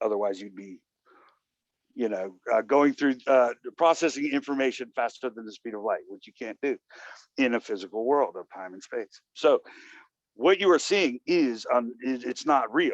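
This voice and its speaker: This man has an ordinary speaking voice at a medium pitch, with lively intonation and big swings in loudness. He keeps a moderate pace, and the sound is dry and close with no echo. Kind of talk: casual philosophical discussion.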